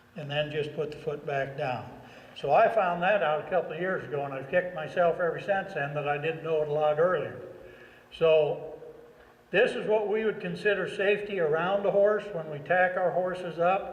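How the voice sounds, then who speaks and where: The recording has audible room echo and noticeable background noise. A man speaks at a high pitch with ordinary variation. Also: moderate pace. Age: 60s. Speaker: horse trainer. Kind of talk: tutorial. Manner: conversational.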